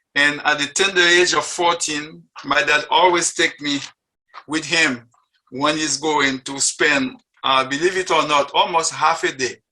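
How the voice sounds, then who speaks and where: A man with a French accent, his pitch fairly high, his tone bright and sharp, at a moderate pace with fairly even intonation and long, frequent pauses. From Haiti. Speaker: interfaith group member sharing faith story. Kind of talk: personal testimony talk. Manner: halting, with many fillers.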